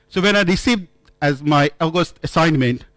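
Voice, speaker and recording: With a non-native accent, a man talks at a fairly quick pace with ordinary pitch variation on a very clean recording with a silent background. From India. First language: not English. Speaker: conference speaker. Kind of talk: conference talk. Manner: halting.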